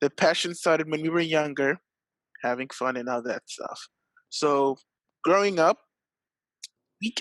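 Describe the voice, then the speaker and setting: With a French accent, a man talks at a moderate pace in a fairly high pitch, the sound dry and close with no echo. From South Africa. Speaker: esports athlete. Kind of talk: interview.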